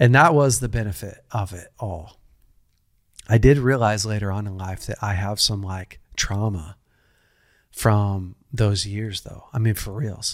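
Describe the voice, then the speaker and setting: This man has a normal speaking voice, fairly low in pitch with ordinary pitch variation, and talks at a fairly slow pace. His loudness swings widely, and the recording is very clean with a silent background. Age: 40s. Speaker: pastor and podcast host. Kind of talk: casual interview.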